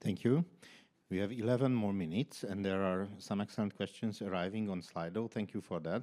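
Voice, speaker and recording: The voice has a dark, mellow tone and a non-native accent. It moves at a fairly quick pace with ordinary pitch variation. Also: man, fairly low pitch for a man, very clean recording, silent background. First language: not English. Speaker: panel moderator. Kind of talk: panel moderation.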